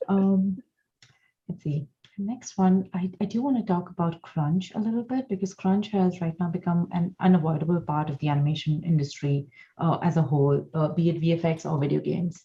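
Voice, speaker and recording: A woman with a non-native accent talks at a fairly quick pace and fairly low pitch. Her dark, mellow tone is somewhat breathy, with ordinary pitch variation. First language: not English. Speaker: animator and panel moderator. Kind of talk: live panel discussion.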